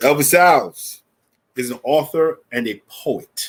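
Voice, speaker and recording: The speaker is a man with a New York accent. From New York, the Bronx. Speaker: event host. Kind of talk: live event hosting.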